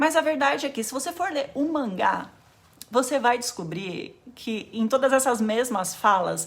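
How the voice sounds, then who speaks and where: Lively intonation and a moderate pace from a woman pitched high. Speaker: anime YouTuber. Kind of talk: casual explainer video.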